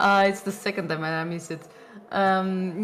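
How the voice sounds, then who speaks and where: A woman talks with a Portuguese accent and ordinary pitch variation. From Portugal. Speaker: esports co-commentator. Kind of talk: live commentary.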